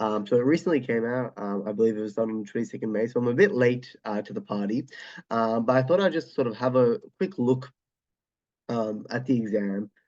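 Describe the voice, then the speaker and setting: Against a quiet background, a man with an Australian accent talks at a fairly quick pace. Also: medium pitch for a man, ordinary pitch variation. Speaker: chemistry tutor. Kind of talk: exam walkthrough tutorial. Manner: hesitant, casual, many filler words.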